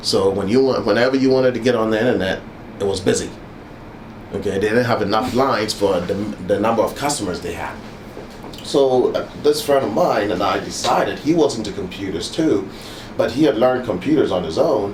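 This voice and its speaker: At a fairly quick pace and with ordinary pitch variation, the voice comes through noticeable background noise and audible room echo. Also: man, medium pitch for a man. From Ghana, West Africa. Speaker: university alumnus. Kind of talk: oral history interview. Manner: halting, with many fillers.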